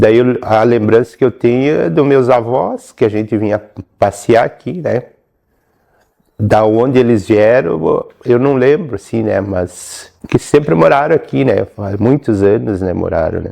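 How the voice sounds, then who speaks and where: A man speaks at a fairly slow pace with ordinary pitch variation. His tone is dark and mellow. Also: medium pitch for a man. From southern Brazil, Rio Grande do Sul. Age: 60s. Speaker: quilombo descendant. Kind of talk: interview testimony.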